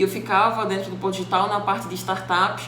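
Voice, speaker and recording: Over noticeable background noise and audible room echo, a woman with a northeastern Brazilian accent speaks at medium pitch and a fairly quick pace, with fairly even intonation. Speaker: innovation consultant and instructor. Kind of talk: self-introduction talk. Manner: hesitant fillers.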